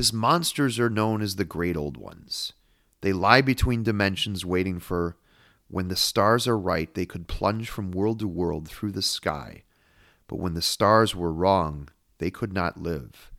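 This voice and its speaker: On a very clean recording with a silent background, a man speaks at a fairly slow pace in a fairly low pitch. He has ordinary pitch variation and an ordinary speaking voice. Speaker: podcast host and literary analyst. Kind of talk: analytical lecture-style monologue on horror literature.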